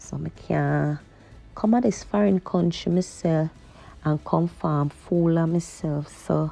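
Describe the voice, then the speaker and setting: A woman speaks at a very slow pace with a Jamaican accent. Music plays in the background. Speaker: vlogger. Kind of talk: casual vlog chat while driving. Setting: in a car at night. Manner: chatty, conversational.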